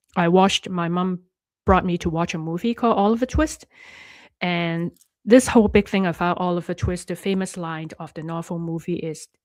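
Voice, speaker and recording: A woman with a Cantonese accent speaks at a moderate pace in a fairly low pitch, her intonation fairly even. Her loudness swings widely on a very clean recording with a silent background. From Hong Kong. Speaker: life coach and online host. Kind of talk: live stream talk to viewers. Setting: live stream. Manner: halting, with many fillers and restarts.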